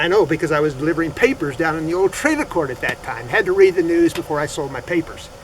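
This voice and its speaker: A high-pitched man talks while noticeable background noise carries on. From New Mexico, Los Alamos. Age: 70s. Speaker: tour guide. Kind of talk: interview, personal reminiscence. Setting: outdoors at ruins.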